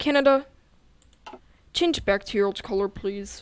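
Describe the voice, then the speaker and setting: A woman talks at a fairly slow pace with ordinary pitch variation. Hers is a normal speaking voice. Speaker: gaming youtuber. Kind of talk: game tutorial. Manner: casual.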